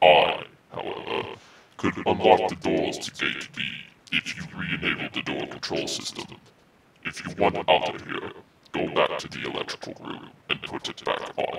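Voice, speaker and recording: The voice is a raspy, put-on character voice. It moves at a moderate pace. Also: man. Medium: audio drama.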